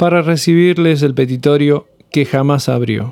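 A man at a fairly high pitch, fairly slow in pace, with ordinary pitch variation. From Argentina, Córdoba hills (Punilla valley). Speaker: podcast host. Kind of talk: scripted narration.

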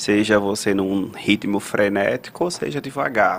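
A man speaks at a fairly slow pace in a medium pitch with ordinary pitch variation. Noticeable background noise is present. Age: 30s. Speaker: psychologist, podcast co-host. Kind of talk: live panel discussion.

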